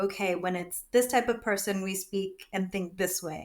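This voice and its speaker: A woman with an American accent speaks at medium pitch on a very clean recording with a silent background. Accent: sounds native-born American. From USA, immigrated in early childhood. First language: not English. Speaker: skincare business founder. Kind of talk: casual interview.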